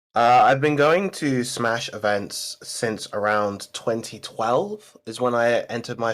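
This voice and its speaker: A man at a very slow pace. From London, England. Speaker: esports commentator and player. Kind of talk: interview.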